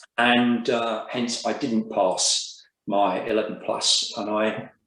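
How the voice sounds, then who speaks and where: A man with a South Coast English accent speaks at medium pitch. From southern England, Brighton and Hove. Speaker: business group chair. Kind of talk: interview.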